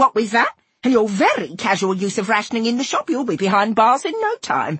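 At a fairly quick pace, a woman performs a put-on character voice that is fairly high in pitch, fairly bright in tone and husky with a rough edge, swinging widely in pitch.

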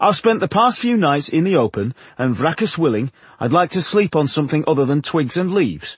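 A man puts on a character voice, fairly high with a husky, rough edge, moving at a moderate pace through big pitch swings.

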